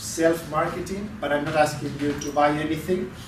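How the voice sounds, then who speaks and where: Speaking at a moderate pace, a man with a fairly high voice talks with a Spanish accent. Audible room echo and noticeable background noise fill the recording. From Spain. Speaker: lecturer. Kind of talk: lecture. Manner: halting, repeats words.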